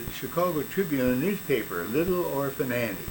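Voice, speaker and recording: Over noticeable background noise, a man speaks at a moderate pace. His fairly high voice carries lively intonation. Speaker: radio-history show host. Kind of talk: casual radio-history talk to a co-host. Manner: conversational reminiscing.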